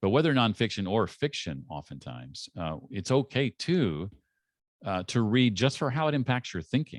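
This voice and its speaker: A man talks at a moderate pace with vocal fry and very wide pitch swings. The background is quiet. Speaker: author and podcast host, former radio host. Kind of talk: interview.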